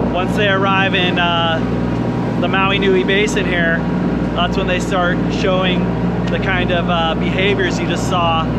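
A man speaks at a moderate pace amid loud background noise. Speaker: boat crew guide. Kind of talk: interview answer. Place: boat. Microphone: phone near.

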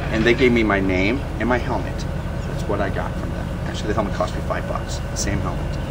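Loud background noise sits behind a man talking. He has an American accent and keeps a fairly quick pace. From US Midwest, northern Illinois. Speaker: renaissance festival performer. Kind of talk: interview. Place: street.

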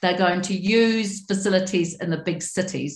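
Amid audible room echo, a woman speaks in a somewhat breathy voice with fairly even intonation. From New Zealand. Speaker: member of parliament; panelist. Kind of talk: panel presentation. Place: home room. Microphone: webcam.

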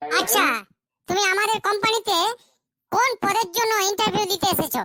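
A woman does a cartoonish character voice, squeaky and at an extremely high pitch. Her pitch variation is ordinary, and the sound is dry and close with no echo. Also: moderate pace.

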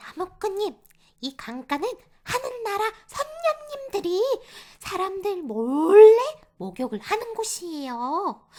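A woman puts on a character voice. She speaks at a fairly slow pace with very wide pitch swings. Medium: read story. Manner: earnest, polite.

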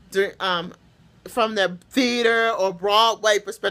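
A woman speaks in a bright, sharp tone. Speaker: vlogger. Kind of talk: casual vlog chat, opinion commentary. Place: home room. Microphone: phone near.

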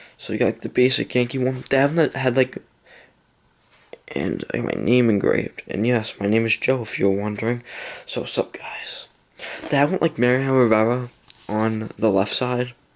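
A quiet man at a moderate pace, with fairly even intonation and long, frequent pauses. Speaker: gaming YouTuber. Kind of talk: casual vlog. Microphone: phone near.

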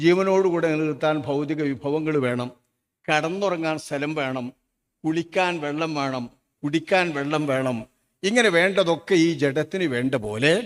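This man has a normal speaking voice. It sits at a fairly high pitch with ordinary pitch variation. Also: very clean recording, silent background. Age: 60s. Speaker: Islamic preacher. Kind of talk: sermon. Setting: stage with audience.

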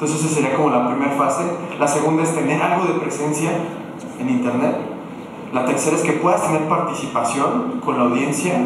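Long, frequent pauses amid strong room echo and noticeable background noise. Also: man, ordinary pitch variation, fairly quick pace. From Mexico, Morelia (Michoacán). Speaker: digital agency director, conference speaker. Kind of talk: conference talk. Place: hall.

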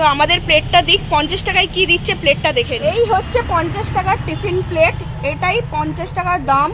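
A woman speaks at an extremely high pitch. The sound is dry with no echo, over noticeable background noise. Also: ordinary pitch variation. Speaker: food vlogger. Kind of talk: casual vlog commentary. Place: street. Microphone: phone near.

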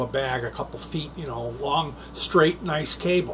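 A man talks with ordinary pitch variation. There is light background noise. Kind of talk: casual tutorial chat. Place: home room.

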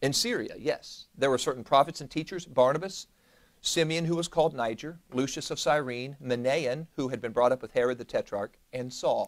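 Against a quiet background, a man talks at a moderate pace. His pitch is fairly high, with ordinary pitch variation. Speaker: pastor teaching Bible study. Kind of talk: Bible study teaching. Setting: church, live-streamed. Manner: conversational, interactive with audience. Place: church.

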